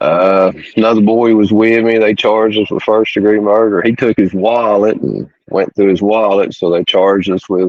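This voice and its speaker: Speaking with an East Tennessee accent, a man with a fairly low pitch keeps a moderate pace, very even loudness and flat, monotone intonation. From East Tennessee, small town. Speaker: ex-prisoner. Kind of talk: interview, personal story. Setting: podcast.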